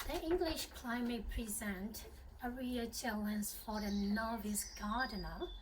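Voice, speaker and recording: There is noticeable background noise. A woman speaks at a very slow pace with a Burmese accent. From Myanmar. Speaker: home gardener. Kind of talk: channel introduction to camera.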